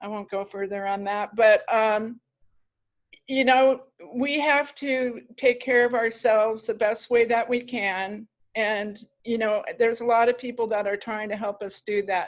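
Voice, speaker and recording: This is a normal speaking voice. It proceeds at a fairly slow pace. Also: woman, fairly high pitch for a woman. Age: 60s. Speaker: author and life coach. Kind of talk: podcast interview.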